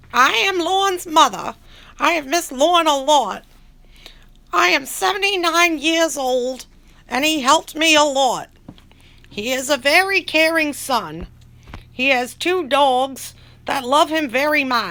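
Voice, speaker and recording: Using a put-on character voice, a female-sounding speaker talks in a high pitch at a fairly slow pace with long, frequent pauses. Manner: warm, caring.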